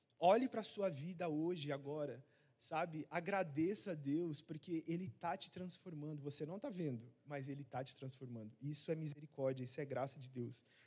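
A man's somewhat breathy, fairly high voice at a moderate pace with lively intonation. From Rondônia, Brazil. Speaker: missionary preacher. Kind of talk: sermon. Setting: church service. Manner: hesitant, many fillers.

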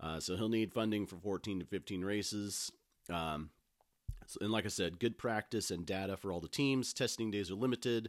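At a moderate pace and with ordinary pitch variation, an ordinary speaking voice comes through a very clean recording with a silent background. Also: man, fairly low pitch for a man. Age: 40s. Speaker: podcast host. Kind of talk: casual solo monologue.

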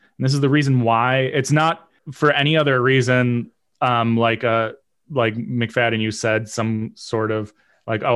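Over a quiet background, a man with a plain, everyday voice speaks at a moderate pace in a medium pitch, with fairly even intonation. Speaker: podcast co-host. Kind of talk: casual chat.

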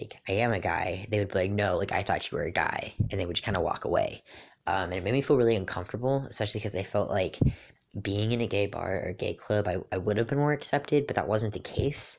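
Talking at a very fast pace, a man with a fairly low pitch and ordinary pitch variation is heard in a very clean recording with a silent background. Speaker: podcast host. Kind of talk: casual chat. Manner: casual, with many filler words.

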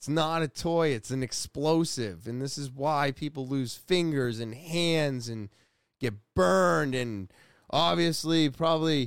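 A man talks with lively intonation at a fairly high pitch. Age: 40s. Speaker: podcast host. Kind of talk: casual monologue. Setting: home recording.

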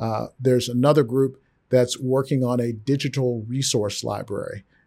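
A normal speaking voice from a man with an American accent, medium in pitch, at a moderate pace with fairly even intonation, on a very clean recording against a silent background. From Texas. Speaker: finance executive. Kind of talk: interview.

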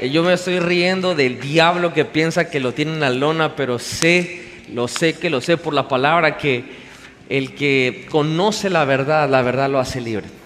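Noticeable background noise sits under a man who speaks fairly slowly, with ordinary pitch variation. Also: fairly high pitch for a man. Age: 30s. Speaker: pastor. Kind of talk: sermon. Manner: animated.

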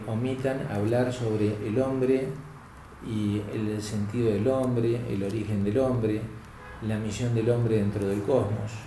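Speaking very slowly at a medium pitch, a man keeps his intonation fairly even while audible room echo and noticeable background noise fill the recording. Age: 60s. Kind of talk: interview on philosophy.

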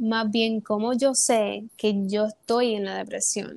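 A woman reads at a very slow pace with a fairly high pitch and fairly even intonation, in a dry, close sound with no echo on a very clean recording with a silent background. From Puerto Rico. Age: 20s. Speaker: theatre student and actress. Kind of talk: personal testimony in casual interview.

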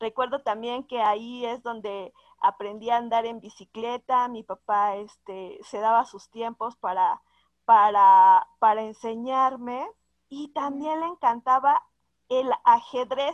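Very slow and dry, with a close sound and no echo, a woman's fairly high voice shows ordinary pitch variation and big swings in loudness. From Mexico City, later Hidalgo. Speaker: accountant, association president. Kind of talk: interview. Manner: halting, many fillers.

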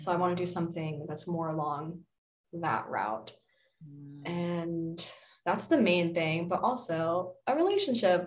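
A woman speaks fairly slowly in a somewhat breathy voice with a fairly low pitch and ordinary pitch variation. She takes long, frequent pauses, and the room echo is audible. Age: 20s. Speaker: Reiki practitioner and DJ. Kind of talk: casual chat.

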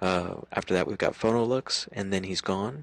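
The voice is quiet, with ordinary pitch variation. The sound is dry and close, with no echo. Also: man. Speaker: local music radio host. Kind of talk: casual podcast talk. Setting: home at night.

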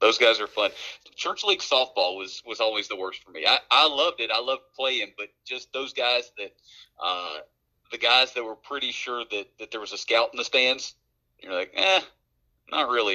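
A man speaks at a moderate pace with an Appalachian accent. His loudness swings a lot, and the sound is dry and close with no echo. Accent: Appalachian American English. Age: 30s. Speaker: podcast co-host. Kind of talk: casual chat.

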